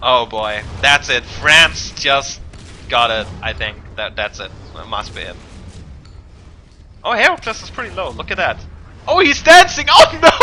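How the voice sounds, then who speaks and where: A man shouting in an animated tone, with long, frequent pauses, big swings in loudness and noticeable background noise. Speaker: esports caster. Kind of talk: live commentary. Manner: animated, yelling at exciting moments.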